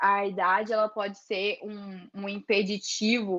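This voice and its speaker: A woman is talking. Her words come very slowly. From interior of Brazil. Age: 20s. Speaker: photographer. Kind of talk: workshop talk with Q&A.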